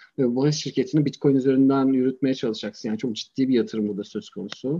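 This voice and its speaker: Dark and mellow in tone, the man's voice rises and falls with ordinary pitch variation. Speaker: lawyer. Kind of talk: casual interview.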